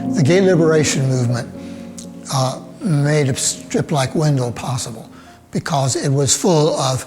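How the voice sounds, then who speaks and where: With music in the background, a man with a Southern US accent speaks at a moderate pace, his fairly high pitch showing ordinary variation. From Birmingham, Alabama. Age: 70s. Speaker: cartoonist. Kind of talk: interview answer. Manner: hesitant, thoughtful.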